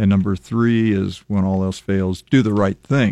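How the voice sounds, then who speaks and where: A man with a Midwestern American accent talks at a moderate pace and fairly low pitch against a quiet background. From US Midwest, Lincoln, Nebraska. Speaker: former city council member. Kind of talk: radio interview. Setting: radio studio.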